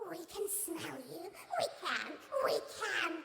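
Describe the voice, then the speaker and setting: Squeaky, extremely high put-on character voice, very slow, with clear echo and loud background noise. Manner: menacing but comically high.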